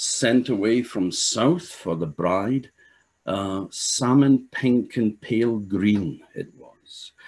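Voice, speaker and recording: Lively intonation marks this man's fairly low voice against a quiet background. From Orkney, Scotland; Scotland. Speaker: storyteller. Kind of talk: traditional storytelling. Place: home room. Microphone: webcam.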